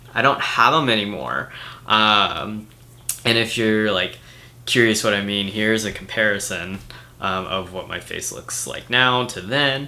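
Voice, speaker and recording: Audible room echo surrounds a man with a fairly low pitch who talks at a fairly slow pace with ordinary pitch variation. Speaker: vlogger. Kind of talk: personal vlog update. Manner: casual with many fillers; goes higher into head voice when excited.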